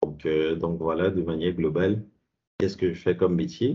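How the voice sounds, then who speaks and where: A man talks with fairly even intonation. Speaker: insurance advisor and college professor. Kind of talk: presentation. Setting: video call. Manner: fast.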